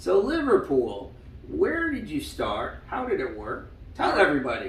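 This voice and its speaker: In an American accent, a man speaks at a fairly slow pace. Room echo is audible, and background noise is noticeable. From Long Island, New York. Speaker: senior living staff interviewer. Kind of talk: interview.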